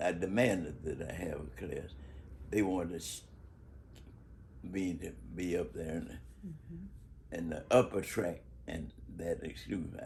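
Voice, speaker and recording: A voice with vocal fry and lively intonation at a fairly slow pace, with big swings in loudness and long, frequent pauses. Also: man, very deep, low pitch for a man. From Chicago, Bronzeville. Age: 80s+. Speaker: civil rights activist and educator. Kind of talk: interview answer. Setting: home.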